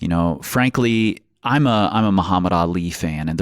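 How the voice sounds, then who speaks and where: Over a very clean recording with a silent background, a man speaks in a very deep, low voice with ordinary pitch variation. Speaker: podcast host. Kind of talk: casual interview podcast.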